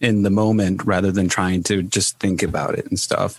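In a normal speaking voice, a man talks with fairly low pitch and fairly even intonation. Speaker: podcast host. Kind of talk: casual interview chat. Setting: video call.

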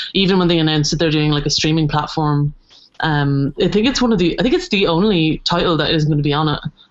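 A woman's very deep, low voice at a very fast pace, with very even loudness and ordinary pitch variation. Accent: southeastern Irish. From Ireland, Wexford and Waterford. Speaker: animation art director. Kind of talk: casual chat.

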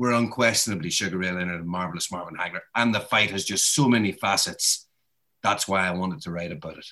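The voice has a bright, sharp tone, ordinary pitch variation and a very fast pace. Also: man, fairly low pitch for a man. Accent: Northern Irish. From Northern Ireland (Derry). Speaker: boxing author and journalist. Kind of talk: interview. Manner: halting.

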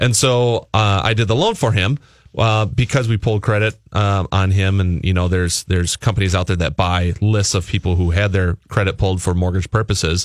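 A man speaks with a plain, everyday voice at a fairly low pitch, fairly quick pace and hardly any pauses, with ordinary pitch variation and very even loudness. The very clean recording has a silent background and a dry, close sound with no echo. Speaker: mortgage lender co-host. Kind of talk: radio talk show. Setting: studio.

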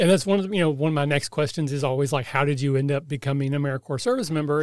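With a Kentucky accent, a man speaks at a fairly high pitch and with ordinary pitch variation. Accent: Kentucky, US South. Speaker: podcast host, AmeriCorps member. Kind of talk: interview.

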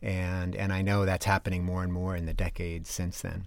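A very deep, low male voice with an American accent, in a very clean recording with a silent background. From Connecticut, US (East Granby). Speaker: novelist and university teacher. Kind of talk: interview. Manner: halting, many fillers.

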